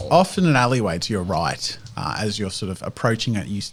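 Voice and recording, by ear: Lively intonation while reading aloud in a natural voice.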